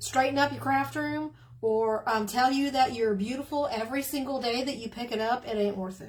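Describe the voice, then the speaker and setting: The voice has an American accent and a somewhat breathy sound. It moves at a moderate pace with lively intonation. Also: woman. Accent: Southern twang, comes and goes. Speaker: crafting video creator. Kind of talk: casual chat. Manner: animated.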